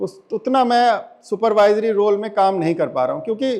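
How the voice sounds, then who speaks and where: The man's voice is high in pitch and shows ordinary pitch variation. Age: 60s. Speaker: lawyer and former civil servant giving a talk. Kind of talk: inspirational talk. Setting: stage with audience.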